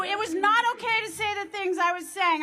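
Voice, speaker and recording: Raised and projected, a woman's bright, sharp voice sits at an extremely high pitch as she talks at a fairly quick pace with an American accent. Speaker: former gymnast and athletic brand founder. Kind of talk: rally speech. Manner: loud; animated.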